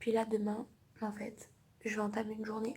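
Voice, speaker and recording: Her pitch sits fairly high for a woman, with vocal fry running through it. She speaks at a fairly slow pace. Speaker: vlogger. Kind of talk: casual vlog. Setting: hospital room.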